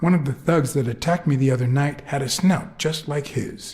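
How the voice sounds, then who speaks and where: Here a man puts on a character voice, pitched fairly high. He speaks at a fairly quick pace. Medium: video game. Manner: low, terse, dry.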